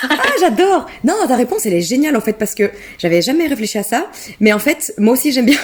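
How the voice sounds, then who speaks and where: A woman talks very fast in a high voice with very wide pitch swings and very even loudness. Noticeable background noise runs underneath. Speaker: podcast host. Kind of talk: casual interview chat.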